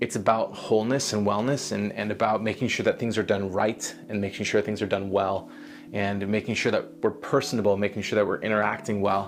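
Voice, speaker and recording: With music in the background, a man speaks in an American accent. His pitch is fairly low and his pace fairly quick. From California. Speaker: vlogger. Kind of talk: casual vlog monologue. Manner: halting, many repeated words.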